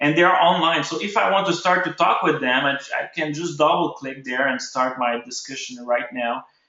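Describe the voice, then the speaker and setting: With audible room echo, a man speaks at a moderate pace in a fairly high pitch with ordinary pitch variation. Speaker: ecommerce webinar host. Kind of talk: live webinar tutorial. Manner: halting, many fillers and restarts.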